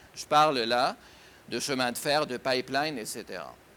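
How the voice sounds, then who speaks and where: A bright, sharp male voice at a fairly slow pace. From Syria. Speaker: writer and businessman. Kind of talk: interview answer.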